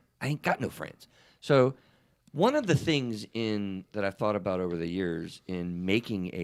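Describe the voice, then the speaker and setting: A man with a fairly low pitch uses an ordinary speaking voice at a moderate pace with lively intonation. The recording is very clean with a silent background. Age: 50s. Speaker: therapist and podcast host. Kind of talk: casual chat. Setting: live stream.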